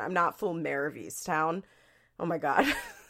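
A woman with a Philadelphia accent speaks at a fairly quick pace on a very clean recording with a silent background. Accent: mild Philadelphia. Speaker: podcast host. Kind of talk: casual chat. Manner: chatty, laughs often.

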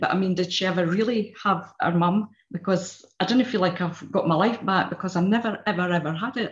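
Speaking at a fairly quick pace with hardly any pauses, a woman of medium pitch sounds somewhat breathy, her intonation fairly even. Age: 60s. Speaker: therapy client. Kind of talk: testimony. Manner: halting.

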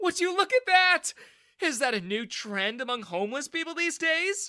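A man uses a put-on character voice that sits extremely high in pitch, with a bright, sharp tone, big pitch swings and a moderate pace.

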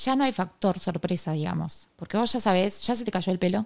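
A woman speaks in a Rioplatense accent at a fairly quick pace. The recording is very clean, with a silent background. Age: 20s. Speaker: cancer survivor and entrepreneur. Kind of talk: casual interview.

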